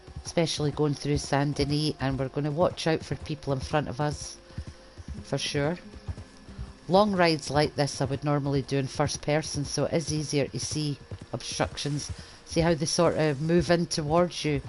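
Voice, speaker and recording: Through noticeable background noise, a woman with a very deep, low pitch talks at a moderate pace with fairly even intonation. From east coast Scotland. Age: old. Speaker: gaming streamer. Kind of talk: game commentary. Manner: casual.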